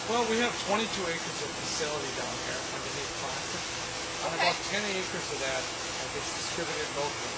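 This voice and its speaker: A man's fairly quick speech over loud background noise. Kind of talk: interview answer.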